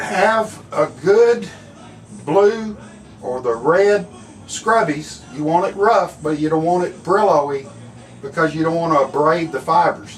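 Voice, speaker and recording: A man with an American accent speaks at a fairly slow pace, his pitch high and his intonation lively. Noticeable background noise runs under the recording. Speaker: screen printing instructor. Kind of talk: tutorial.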